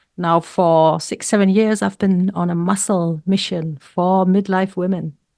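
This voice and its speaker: A woman's medium-pitched voice with a German accent at a fairly slow pace, on a very clean recording with a silent background. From Germany. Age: 60s. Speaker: health coach and weightlifter. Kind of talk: interview.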